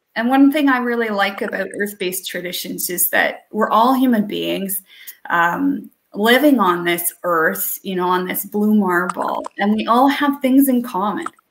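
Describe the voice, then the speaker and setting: Over light background noise, a woman with a plain, everyday voice talks at a fairly high pitch with lively intonation. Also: fairly slow pace. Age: 40s. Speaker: pagan priestess; guest. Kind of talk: casual chat; tarot reading. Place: home room.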